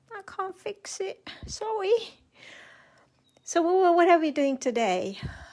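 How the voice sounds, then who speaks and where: A woman's voice with very wide pitch swings. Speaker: craft demonstrator. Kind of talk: live craft tutorial. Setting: livestream from home. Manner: chatty, rambling.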